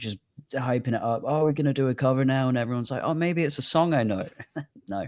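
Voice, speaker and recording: A man with a British accent talks at a very fast pace. His pitch is medium, with ordinary variation. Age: 20s. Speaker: podcast host. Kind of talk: casual chat.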